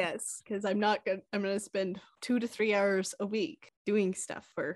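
An unremarkable speaking voice with an American accent, at a moderate pace. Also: woman, dry, close sound with no echo. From Kansas, small town. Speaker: podcast co-host. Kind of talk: casual chat.

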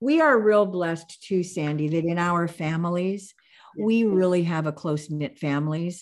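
On a very clean recording with a silent background, a woman with an American accent uses an ordinary speaking voice, fairly low in pitch with ordinary pitch variation, at a moderate pace. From US Pacific Northwest. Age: 60s. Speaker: podcast co-host. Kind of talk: casual chat.

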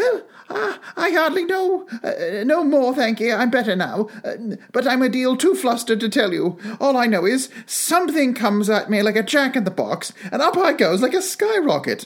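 A squeaky, put-on character voice swings very widely in pitch. Its loudness stays very even, at a moderate pace. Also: man, extremely high pitch for a man.

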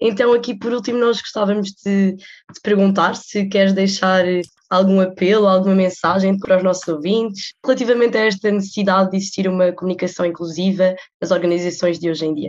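A woman with a plain, everyday voice talks at a fairly quick pace and medium pitch with fairly even intonation. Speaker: student podcast host. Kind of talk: interview.

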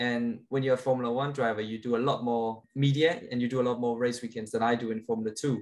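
A man with a Danish accent, medium pitch and a very fast pace, flat and monotone, with hardly any pauses. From Denmark. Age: 20s. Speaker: racing driver. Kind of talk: interview.

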